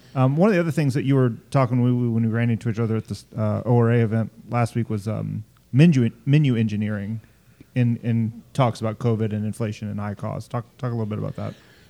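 Speaking very fast with an American accent, a man keeps a medium pitch, fairly even intonation and a dark, mellow tone. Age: 40s. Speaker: podcast host. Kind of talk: casual interview chat.

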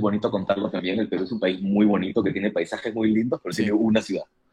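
Moving very fast, this voice carries a dark, mellow tone. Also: man, hardly any pauses. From Peru. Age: 30s. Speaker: musician. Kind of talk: casual interview.

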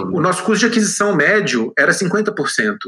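A man's high-pitched, raised and projected voice. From Minas Gerais, Brazil (Belo Horizonte). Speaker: tech entrepreneur. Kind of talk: interview.

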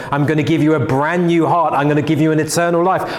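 Audible room echo and noticeable background noise fill the recording. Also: man. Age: 30s. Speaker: pastor. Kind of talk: sermon. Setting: church.

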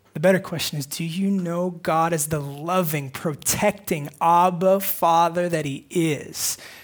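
High-pitched male speech, its intonation fairly even throughout. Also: fairly slow pace. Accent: Californian. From US West Coast, northern San Diego County. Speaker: pastor. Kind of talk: sermon. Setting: church.

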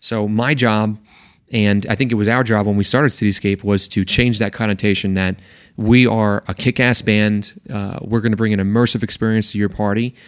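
On a very clean recording with a silent background, a man speaks fairly quickly at a fairly low pitch, his intonation monotone and flat. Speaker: music director of an event music company. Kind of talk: interview. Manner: intense.

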